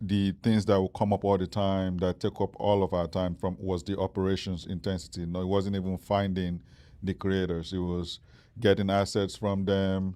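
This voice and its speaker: Speaking in a Nigerian accent, a man with a very deep, low pitch and a dark, mellow tone delivers monotone, flat intonation at a moderate pace in a very clean recording with a silent background. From Nigeria, Lagos. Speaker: startup founder. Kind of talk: interview. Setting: stage with live audience. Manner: hesitant, many fillers.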